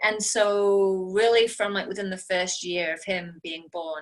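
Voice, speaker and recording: Her tone bright and sharp, a woman speaks at a medium pitch and a fairly slow pace with ordinary pitch variation. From England, Nottingham. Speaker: network marketing team leader. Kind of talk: personal story on team call. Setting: video call.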